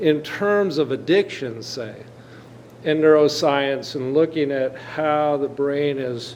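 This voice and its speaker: A man speaks very slowly in a fairly high voice over noticeable background noise. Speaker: audience member. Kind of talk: audience question.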